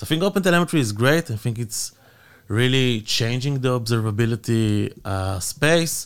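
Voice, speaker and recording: The recording is very clean, with a silent background. A man with an ordinary speaking voice talks at a moderate pace and a medium pitch. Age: 30s. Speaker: tech company executive. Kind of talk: interview.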